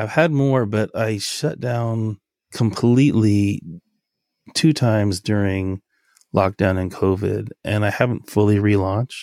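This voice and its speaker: An unremarkable speaking voice, a man with an American accent talks at a fairly slow pace in a fairly low pitch with ordinary variation. The recording is very clean with a silent background, and the sound is dry and close with no echo. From Los Angeles, US West Coast. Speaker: photo booth business owner. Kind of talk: interview.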